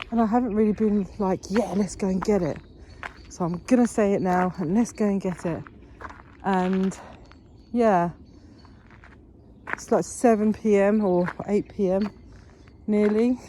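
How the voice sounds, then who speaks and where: A woman's medium-pitched voice in a British accent, at a fairly slow pace with long, frequent pauses. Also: fairly even intonation. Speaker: manifestation vlogger. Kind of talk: casual vlog monologue. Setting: outdoors, walking in woods. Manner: walking while talking.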